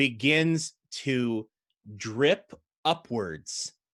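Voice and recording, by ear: Over a quiet background, the words are read aloud in a natural voice.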